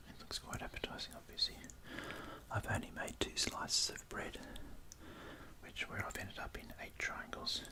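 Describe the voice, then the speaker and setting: Whispering in an Australian accent at a moderate pace, a man leaves long, frequent pauses as his loudness swings widely over noticeable background noise. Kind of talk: ASMR whispered food video. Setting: home recording with studio microphone. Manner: whispered, soft.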